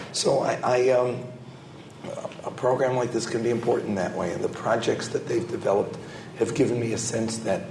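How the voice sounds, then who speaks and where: Speaking with an American accent, a man talks at medium pitch and a moderate pace, with long, frequent pauses. There is noticeable background noise and audible room echo. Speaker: scholar and government program adviser. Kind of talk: panel discussion. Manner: halting, many fillers and repetitions.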